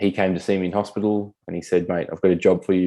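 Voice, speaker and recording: With an Australian accent, a man talks at a fairly quick pace in a very deep, low pitch, his tone dark and mellow and his intonation fairly even. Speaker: military veteran with spinal cord injury. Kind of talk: interview conversation.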